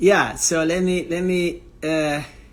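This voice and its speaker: A man with a high pitch speaks in a strong non-native accent. His intonation stays monotone and flat. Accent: strong foreign accent in English. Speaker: tennis coach and interviewer. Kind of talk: live stream chat. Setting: live online stream. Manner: hesitant, many fillers.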